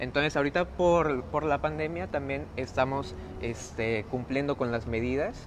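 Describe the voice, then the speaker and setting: A man talks fairly slowly while noticeable noise sounds behind him. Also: lively intonation. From Mexico, Reynosa, Tamaulipas. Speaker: circus performer. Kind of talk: live interview. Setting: inside a circus tent. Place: tent. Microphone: phone near.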